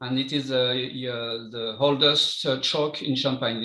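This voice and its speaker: A man's medium-pitched voice with a French accent, flat and monotone, at a fairly slow pace. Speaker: champagne winemaker. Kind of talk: interview. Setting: live stream. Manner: halting.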